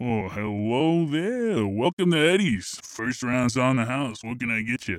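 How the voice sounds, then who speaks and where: Using a put-on character voice, a man speaks at a medium pitch. He leaves hardly any pauses. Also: moderate pace. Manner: folksy, friendly.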